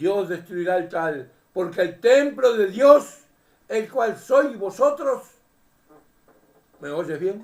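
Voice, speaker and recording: This man speaks at a very slow pace. His pitch is high. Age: 80s+. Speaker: preacher. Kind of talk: sermon. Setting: seated at home, addressing camera. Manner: animated.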